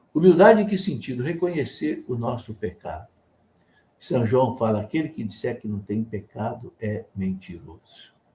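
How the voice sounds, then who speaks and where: Breathing somewhat audibly through a dark, mellow tone, a man speaks at a fairly slow pace. His pitch swings very widely. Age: 70s. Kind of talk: sermon. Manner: conversational.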